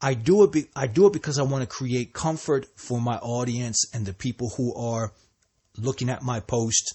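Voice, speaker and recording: At a moderate pace, a man speaks at a medium pitch, somewhat breathy, with ordinary pitch variation. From New Jersey. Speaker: podcaster and hip hop artist. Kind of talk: solo monologue. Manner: halting, many repeats and restarts.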